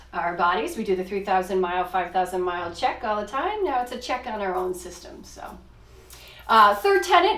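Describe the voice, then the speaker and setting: The voice has lively intonation and big swings in loudness. Audible room echo and noticeable background noise fill the recording. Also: woman. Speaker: physician. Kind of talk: podcast discussion. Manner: fast.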